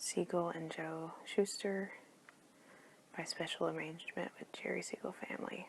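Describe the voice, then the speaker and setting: The speaker whispers at a moderate pace with long, frequent pauses. Background noise is noticeable. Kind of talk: ASMR comic book review. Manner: soft-spoken.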